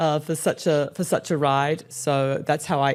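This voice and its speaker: A woman with an Australian accent speaks at a very deep, low pitch. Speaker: relocation business owner and podcast co-host. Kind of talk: casual interview chat.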